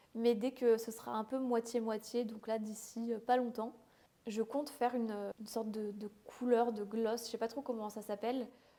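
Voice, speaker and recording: Fairly high, monotone and flat speech from a woman, with noticeable background noise. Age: 20s. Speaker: beauty content creator. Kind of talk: casual vlog talk to camera. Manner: fast; hesitant, with fillers.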